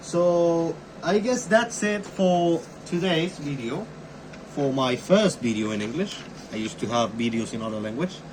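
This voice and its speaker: Long pauses come frequently, with the pace otherwise moderate. Background noise stays noticeable throughout. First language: not English. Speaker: amateur YouTuber, cryptography hobbyist. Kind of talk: tutorial. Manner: casual, halting with fillers.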